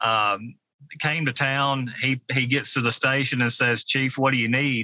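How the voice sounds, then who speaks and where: With a Kentucky accent, a man talks at a fairly slow pace and medium pitch, his bright, sharp tone held in monotone, flat intonation, in a dry, close sound with no echo. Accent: US Southern (Kentucky). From western Kentucky, Mayfield. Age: 40s. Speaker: fire chief. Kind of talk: interview. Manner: halting.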